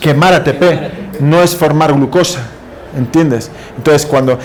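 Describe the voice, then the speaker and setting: A man is speaking amid noticeable background noise. Audible room echo surrounds his voice. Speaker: university lecturer. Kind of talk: lecture. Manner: fast.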